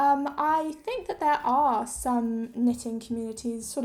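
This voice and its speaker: A woman's high, dark, mellow voice at a fairly slow pace. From international schools in Thailand and India, English parents. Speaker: knitting youtuber. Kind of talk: casual Q&A video.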